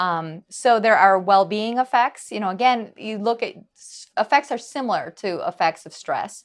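Over a quiet background, a woman with a normal speaking voice and an American accent talks at a moderate pace, her fairly high voice showing lively intonation and big swings in loudness. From US Midwest, Wisconsin. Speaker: psychology professor. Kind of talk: interview.

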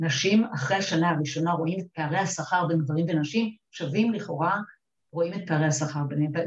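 Very fast speech from a woman, fairly low in pitch, with ordinary pitch variation. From Upper Galilee, Israel. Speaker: lawyer, central bank executive. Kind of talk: panel discussion.

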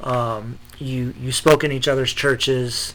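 With fairly even intonation and a medium pitch, a man talks against noticeable background noise. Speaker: podcast host. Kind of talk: interview, conversational.

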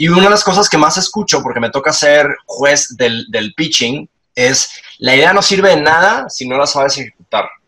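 Lively in intonation and bright, sharp in tone, a man talks at a moderate pace with hardly any pauses. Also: fairly high pitch for a man. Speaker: leadership and storytelling consultant. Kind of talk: interview.

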